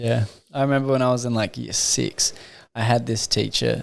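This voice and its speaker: With an Australian accent, a man talks at a fairly quick pace and a medium pitch. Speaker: podcast host. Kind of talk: casual chat.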